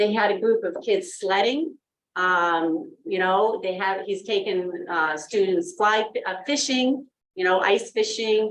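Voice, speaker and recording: Fairly slow pace with lively intonation. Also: woman, medium pitch for a woman. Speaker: school administrator presenting budget. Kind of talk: public meeting budget presentation. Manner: loud.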